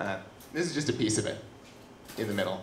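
The delivery has lively intonation, and audible room echo surrounds it. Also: man. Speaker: science communication video producer. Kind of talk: stage presentation. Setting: stage with audience.

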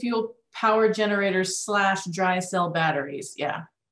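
A woman talks fairly slowly in a room with audible echo and a quiet background. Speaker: event staff reading audience questions. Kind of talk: reading questions aloud. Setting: video call. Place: meeting room.

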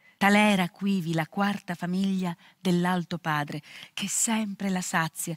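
A woman at a fairly slow pace, dry sound with no echo, quiet background. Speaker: actress. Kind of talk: poetry reading. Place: studio.

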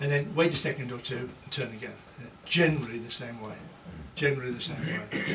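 Speech at a fairly quick clip amid noticeable background noise. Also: man. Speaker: guest. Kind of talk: lecture. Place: hall. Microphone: camera far.

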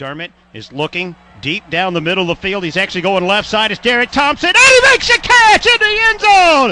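A man's raised, projected voice with very wide pitch swings, big swings in loudness, and hardly any pauses. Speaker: sports commentator. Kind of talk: live sports commentary, game highlights.

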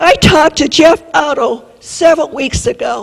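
With an American accent, a woman speaks at a high pitch. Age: 70s. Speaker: resident speaking at public comment. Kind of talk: public comment. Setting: city council meeting. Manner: animated.

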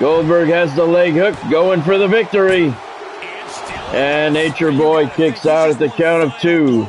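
Against noticeable background noise, a man with a fairly high pitch speaks at a fairly slow pace, with ordinary pitch variation and very even loudness. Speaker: gaming YouTuber and wrestling game streamer. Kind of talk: live wrestling play-by-play commentary over a game match. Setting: live stream. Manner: casual, conversational chatter with viewers.

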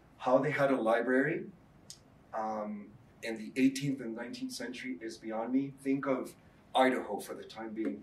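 Light background noise and audible room echo surround a man who talks at a moderate pace with fairly even intonation and long, frequent pauses. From Mexico. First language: Spanish. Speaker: professor. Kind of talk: lecture. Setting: stage with audience. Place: classroom.

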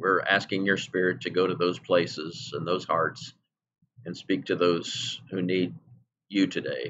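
This man's voice is very deep and low, with vocal fry. He talks at a fairly slow pace with ordinary pitch variation. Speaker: pastor. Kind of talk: prayer gathering: scripture reading, then fervent spoken prayer. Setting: church service streamed online. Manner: earnest, pleading, heartfelt. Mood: reverent, earnest. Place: home room. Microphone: webcam.

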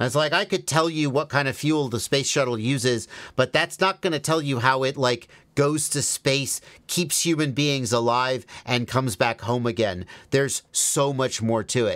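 With a quiet background, a man talks at a moderate pace and with ordinary pitch variation. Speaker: FPV drone streamer. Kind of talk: live Q&A answer. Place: workshop. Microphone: studio mic.

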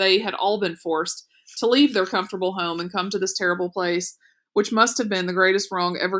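An unforced reading voice over a quiet background

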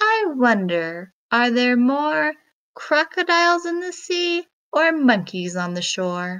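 A woman puts on a character voice that is fairly bright and high-pitched, with big pitch swings. She speaks at a slow pace.

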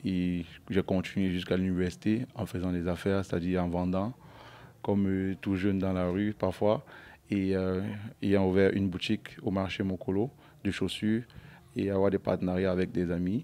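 A man's very deep, low voice, dark and mellow in tone, at a moderate pace with long, frequent pauses and fairly even intonation. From Cameroon, Yaoundé; Cameroon. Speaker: entrepreneur; interviewee. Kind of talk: interview. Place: shop. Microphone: handheld.

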